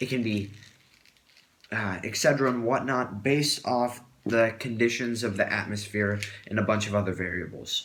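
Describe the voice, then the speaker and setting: A man speaks with fairly even intonation. Background noise is noticeable. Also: medium pitch for a man, moderate pace. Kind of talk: casual science explanation to camera. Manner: stuttering, hesitant.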